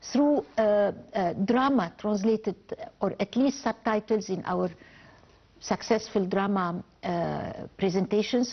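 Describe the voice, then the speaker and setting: A woman speaks at a fairly slow pace with an Arabic accent. Her pitch is medium, with ordinary variation. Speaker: novelist. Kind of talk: TV interview. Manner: halting with false starts.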